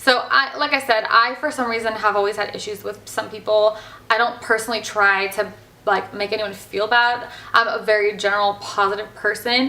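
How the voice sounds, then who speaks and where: Over noticeable background noise, a woman speaks in a fairly high, bubbly, animated tone. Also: moderate pace. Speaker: hairstylist vlogger. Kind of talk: casual vlog talk. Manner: loud, bubbly.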